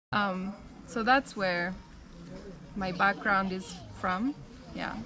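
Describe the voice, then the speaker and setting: Noticeable background noise runs under a woman speaking at a medium pitch. Her pace is moderate and her pitch variation ordinary. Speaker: missionary. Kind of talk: casual interview, life story.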